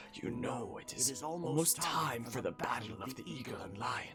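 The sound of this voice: A man puts on a strained, guttural character voice at a moderate pace. Clear music plays in the background.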